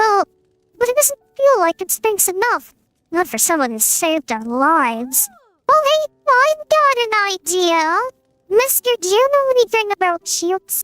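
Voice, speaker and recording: A put-on character voice with an extremely high pitch swings very widely in pitch. It moves at a moderate pace. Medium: game stream. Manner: folksy, warm, chatty.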